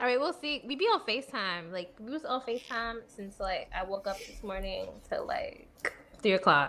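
A woman's fairly high voice in an American accent, bright and sharp in tone, with very wide pitch swings, big swings in loudness and a moderate pace. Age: 20s. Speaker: podcast co-host. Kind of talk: casual chat.

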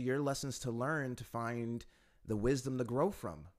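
A man with an American accent speaks at a medium pitch. His pace is fairly slow. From United States. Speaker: English teacher and podcast host. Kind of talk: solo monologue podcast. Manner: hesitant, many fillers.

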